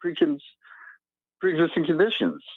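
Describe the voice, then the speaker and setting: A man speaks with lively intonation. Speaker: caller. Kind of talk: phone-in call. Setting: phone call. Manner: fast.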